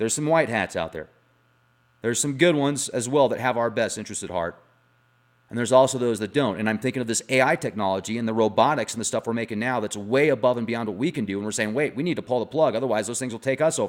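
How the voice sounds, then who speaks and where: Speaking very fast in an animated tone, a man uses ordinary pitch variation on a very clean recording with a silent background. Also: medium pitch for a man. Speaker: conspiracy and paranormal YouTuber. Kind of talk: casual video monologue.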